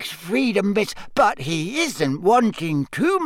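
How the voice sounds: The speaker reads in a natural voice.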